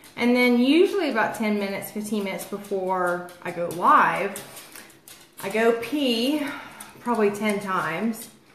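There is audible room echo as a woman talks over light background noise. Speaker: lifestyle live streamer. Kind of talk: casual live-stream chat. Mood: chatty, a bit self-mocking. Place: home room. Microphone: phone near.

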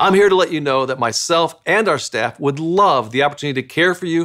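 A man with a bright, sharp tone speaks at a very fast pace against a quiet background. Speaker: church pastor. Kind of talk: welcome announcement. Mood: warm, welcoming. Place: studio.

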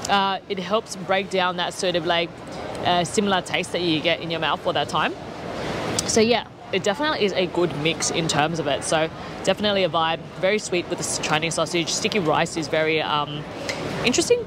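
Noticeable background noise accompanies fairly quick speech. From Australia. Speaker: travel vlogger. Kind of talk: travel vlog walkthrough. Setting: outdoors at a night market. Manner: animated.

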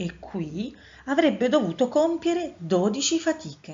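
Her pitch swings very widely as the woman talks in a somewhat breathy voice. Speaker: storyteller. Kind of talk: reading aloud.

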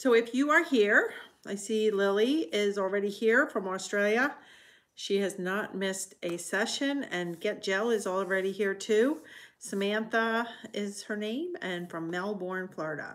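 The speaker moves at a fairly slow pace with ordinary pitch variation. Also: woman. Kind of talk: casual live stream talk. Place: home room. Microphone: phone near.

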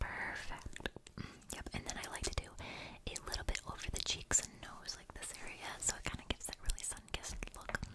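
A woman whispering at a fairly quick pace, with big swings in loudness. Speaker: makeup artist roleplay. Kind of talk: ASMR personal attention roleplay. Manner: whispered, soft. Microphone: studio mic.

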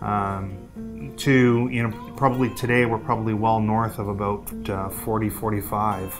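The intonation stays fairly even. Clear music plays in the background. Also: man. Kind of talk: interview answer. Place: office.

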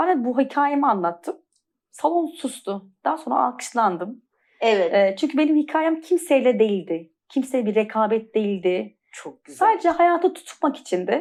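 A woman's high pitch with very wide pitch swings at a moderate pace. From Turkey, Antalya. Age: 40s. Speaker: pilates trainer. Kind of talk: interview, personal testimony.

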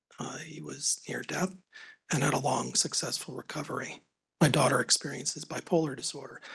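A man whispers at a fairly quick pace. His loudness swings widely. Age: 50s. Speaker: economics professor; presenter. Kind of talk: conference presentation. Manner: halting. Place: meeting room. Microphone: podium.

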